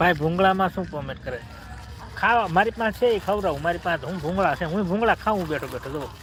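Noticeable background noise runs behind the recording. A man speaks at a high pitch with ordinary pitch variation. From Gujarat, Bhavnagar. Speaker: vlogger. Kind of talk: live stream chat. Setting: outdoors in a garden. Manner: animated.

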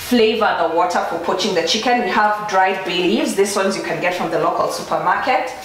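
Light background noise runs behind a woman's voice. The room echo is audible. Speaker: food blogger. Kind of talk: cooking tutorial. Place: kitchen.

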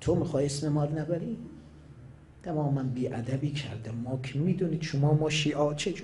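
A man talks at a fairly quick pace in a dark, mellow tone that is somewhat breathy, with ordinary pitch variation. Long, frequent pauses break his speech, and light background noise is present. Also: fairly high pitch for a man. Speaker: Shia cleric; cleric preacher. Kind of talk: religious sermon. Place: hall. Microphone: podium.

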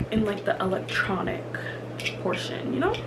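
A woman is talking. Background noise is noticeable. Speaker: lifestyle vlogger. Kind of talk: casual vlog chat. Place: home room. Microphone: camera far.

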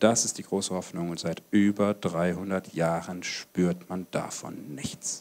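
A man speaks at a very slow pace in a very deep, low pitch. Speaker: pastor. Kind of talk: sermon. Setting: church service with congregation. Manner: animated. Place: hall. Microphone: handheld.

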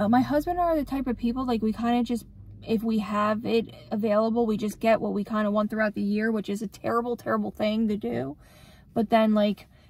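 Talking at a very fast pace, a woman with a somewhat breathy voice uses ordinary pitch variation. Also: dry sound with no echo. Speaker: vlogger. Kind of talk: casual vlog chat. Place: car. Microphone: phone near.

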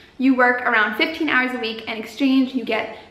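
At a fairly quick pace, a woman talks in a high pitch with audible room echo around her. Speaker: YouTuber, travel vlogger. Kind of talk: casual vlog advice talk. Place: home room.

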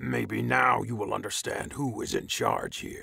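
A man puts on a character voice. It sounds raspy. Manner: sneering, menacing.

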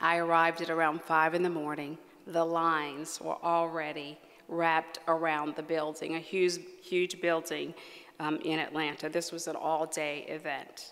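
Here a woman speaks with an American accent at a moderate pace. Her voice is fairly low, and her intonation is monotone and flat. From West Virginia. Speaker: psychiatrist and medical association leader; keynote speaker. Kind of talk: award acceptance speech. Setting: stage with audience. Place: hall. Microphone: podium.

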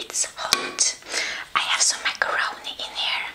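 A woman whispers. Her delivery is soft-spoken. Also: fairly slow pace. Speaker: ASMR eating creator. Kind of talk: casual vlog chat. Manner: soft close whisper. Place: home room.

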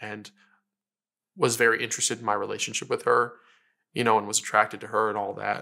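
Over a quiet background, a man talks at a fairly quick pace in a bright, sharp tone with monotone, flat intonation. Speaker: interviewee, teacher. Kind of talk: interview answer. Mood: reflective, earnest. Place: home room. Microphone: lapel.

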